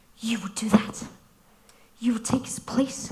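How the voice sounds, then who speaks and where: A put-on character voice, female-sounding, at a moderate pace. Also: fairly high pitch for a woman. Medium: stage play. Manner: curt, commanding.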